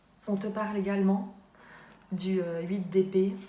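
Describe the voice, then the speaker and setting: A woman is speaking in a room with audible echo. Noticeable background noise is present. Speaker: tarot card reader. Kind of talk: tarot reading. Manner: halting, many filler sounds.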